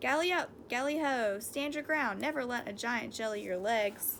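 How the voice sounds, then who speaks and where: A squeaky, put-on character voice, female-sounding and high-pitched, at a moderate pace over clear background noise. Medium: read story.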